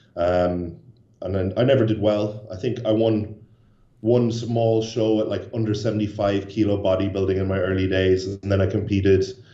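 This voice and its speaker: Audible room echo surrounds a man speaking in a monotone, flat intonation. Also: fairly low pitch for a man, moderate pace. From Ireland, Cork. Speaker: bodybuilder. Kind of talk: interview. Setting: video call.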